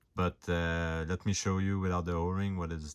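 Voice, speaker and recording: Recorded very cleanly against a silent background, a man with a non-native accent talks at a very deep, low pitch with fairly even intonation. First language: not English. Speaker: hobbyist prop reviewer. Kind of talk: tutorial. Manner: stutter; halting, many fillers.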